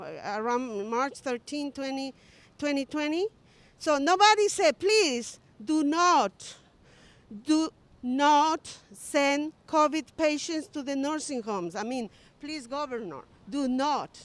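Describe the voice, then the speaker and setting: A woman's high-pitched voice with a non-native accent, very slow and lively in intonation, broken by long, frequent pauses. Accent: foreign. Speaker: political rally speaker. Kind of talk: rally speech. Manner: halting.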